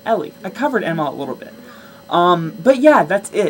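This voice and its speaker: An animated voice speaks at a moderate pace against noticeable background noise. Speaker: vlogger. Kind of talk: casual vlog monologue.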